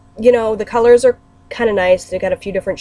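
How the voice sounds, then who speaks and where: A woman talking at a very fast pace, with music in the background. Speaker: beauty vlogger. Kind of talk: product review.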